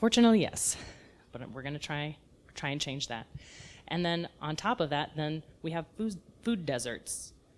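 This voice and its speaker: This woman has a slight Texas accent and a very deep, low pitch. Her intonation is lively, her pace moderate, and she leaves long, frequent pauses. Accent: Texas accent, kept mild. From South Texas. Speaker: edible landscape designer. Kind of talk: lecture. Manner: casual, conversational.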